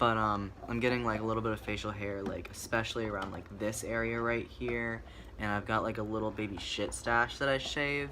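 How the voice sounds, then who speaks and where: Someone talks rather fast, and the room's echo is clearly heard. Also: man, fairly low pitch for a man, fairly even intonation. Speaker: vlogger. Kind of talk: casual chat. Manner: hesitant, many fillers.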